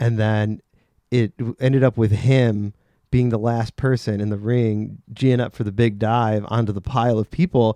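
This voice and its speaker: A man's medium-pitched voice, dark and mellow in tone, at a moderate pace with ordinary pitch variation, dry and close with no echo, over a quiet background. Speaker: podcast host, wrestler. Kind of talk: casual podcast conversation.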